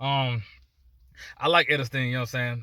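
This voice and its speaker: A man speaks at a very fast pace in a medium pitch with a bright, sharp tone, on a very clean recording with a silent background. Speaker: dog breeder, video blogger. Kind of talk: casual vlog monologue. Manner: repetitive, many false starts.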